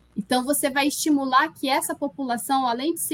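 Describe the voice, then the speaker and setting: In a bright, sharp tone, a woman speaks at a moderate pace. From Brazil, Amazonas (Parintins). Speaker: linguistics professor. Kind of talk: interview on live political show.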